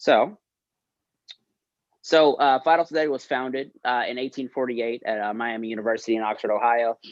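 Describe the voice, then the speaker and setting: A man with an American accent at medium pitch, fairly quick yet with long, frequent pauses, ordinary pitch variation, and a dry, close sound with no echo. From North Carolina, Winston-Salem. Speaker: fraternity expansion consultant, guest speaker. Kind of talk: presentation to student senate. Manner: casual, many fillers.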